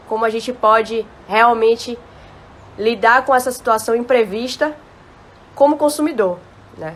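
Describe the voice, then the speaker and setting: Animated in tone, a woman with a Bahian accent speaks at a fairly high pitch and moderate pace with ordinary pitch variation. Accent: Bahian Brazilian Portuguese. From Bahia, Brazil. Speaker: live stream host. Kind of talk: live stream chat. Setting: Instagram live.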